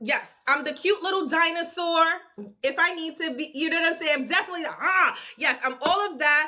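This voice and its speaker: A woman with a New York accent projects a raised voice at an extremely high pitch, bright and sharp in tone. She talks at a fairly quick pace with fairly even intonation. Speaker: guest commentator. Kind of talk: casual livestream chat. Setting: live video stream. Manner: fast.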